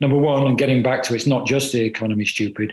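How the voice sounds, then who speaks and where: Somewhat breathy, a man with a British accent talks at a medium pitch with ordinary pitch variation. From United Kingdom. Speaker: political journalist. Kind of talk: panel discussion.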